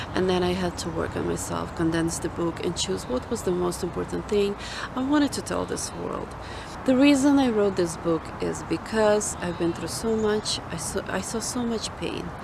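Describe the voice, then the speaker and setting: Over noticeable background noise and audible room echo, a woman talks at a moderate pace. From Ukraine. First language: Ukrainian or Russian. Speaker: author and ministry founder. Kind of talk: personal testimony. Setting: outdoors in a park.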